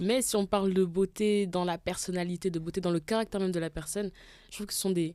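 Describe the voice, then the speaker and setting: Very fast, flat, monotone woman with a dark, mellow tone, on a very clean recording with a silent background. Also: medium pitch for a woman. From Gabon. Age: 20s. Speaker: podcast guest. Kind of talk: casual chat.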